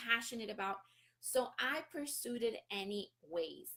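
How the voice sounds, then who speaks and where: A woman speaks with a Spanish accent and very wide pitch swings. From Colombia, Barranquilla. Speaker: real estate investor and business coach. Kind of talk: live-stream talk.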